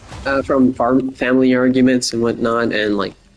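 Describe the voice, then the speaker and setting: Noticeable background noise sits behind a man speaking with an American accent. His medium pitch holds a fairly even intonation. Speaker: gaming podcaster. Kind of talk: casual monologue. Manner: rambling, filler-heavy.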